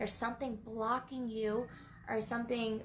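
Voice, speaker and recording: Her pitch high and her intonation fairly even, a woman speaks at a moderate pace, with audible room echo around her. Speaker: spiritual teacher. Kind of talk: live online training. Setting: livestream. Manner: repetitive, halting.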